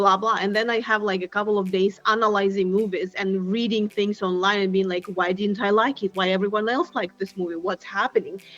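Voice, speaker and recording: A woman talks at a fairly quick pace with a Russian accent. Her medium-pitched speech has hardly any pauses. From Siberia, Russia. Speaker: tech founder and product mentor. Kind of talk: podcast interview. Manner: animated.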